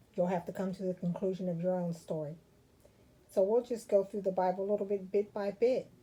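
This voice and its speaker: This woman's voice has a dark, mellow tone at a medium pitch. Her intonation stays fairly even. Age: 60s. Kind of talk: testimony.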